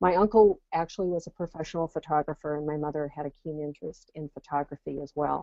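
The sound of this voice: A woman's fast, low-pitched voice with a dark, mellow tone, vocal fry and fairly even intonation, in a dry, close sound with no echo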